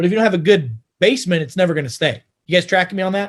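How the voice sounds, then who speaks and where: In an American accent, a man talks with high pitch, lively intonation, and an animated tone. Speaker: doctor giving health talk. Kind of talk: health lecture. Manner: fast.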